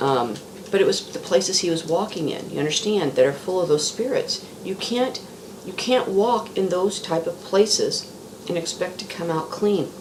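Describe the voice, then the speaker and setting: A woman's lively intonation at a moderate pace, with audible room echo and noticeable background noise. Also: medium pitch for a woman. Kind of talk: casual religious monologue. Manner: halting, repetitive.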